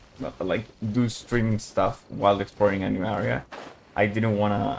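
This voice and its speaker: Quiet and fairly low-pitched, a man talks at a moderate pace over noticeable background noise. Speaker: gaming streamer. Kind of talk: casual live stream chat. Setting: home at night, live stream. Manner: speaking quietly; halting, repeats words.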